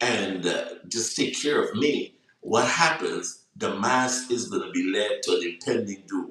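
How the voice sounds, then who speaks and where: A man with a Guyanese accent speaks at a fairly slow pace. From Guyana. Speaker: online talk show host. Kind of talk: reflective monologue on a live broadcast. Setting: live social media broadcast. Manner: hesitant, many fillers.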